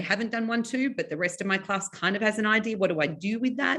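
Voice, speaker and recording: Speaking with an Australian accent, a woman talks at a fairly quick pace and fairly high pitch with lively intonation. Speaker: psychology teacher and textbook author. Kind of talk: webinar presentation. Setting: online webinar. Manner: fast.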